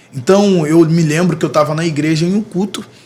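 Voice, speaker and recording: An unremarkable speaking voice from a man, moderate in pace, fairly high-pitched, and ordinary in its pitch variation. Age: 30s. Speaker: music producer and preacher. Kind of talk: podcast interview, testimony.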